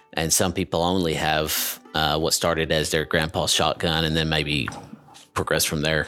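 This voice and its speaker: Over noticeable background noise, a man talks in a very deep, low voice with monotone, flat intonation and very even loudness. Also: moderate pace. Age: 30s. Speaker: ballistics engineer. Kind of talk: casual interview.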